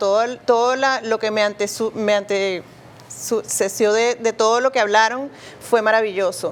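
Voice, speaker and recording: A woman speaks in a plain, everyday voice. Her pitch sits fairly high, and her intonation stays fairly even. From Venezuela. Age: 60s. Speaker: cook. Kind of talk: interview.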